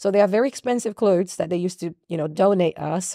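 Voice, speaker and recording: This woman's dark, mellow voice, with a Brazilian accent and ordinary pitch variation, comes through with a dry, close sound and no echo. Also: very clean recording, silent background. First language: Portuguese. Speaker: singer and songwriter. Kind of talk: interview. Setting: video recording. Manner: loud.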